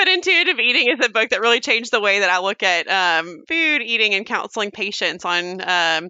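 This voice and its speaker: A woman speaks at a medium pitch in an ordinary speaking voice. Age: 30s. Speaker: physician. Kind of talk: interview.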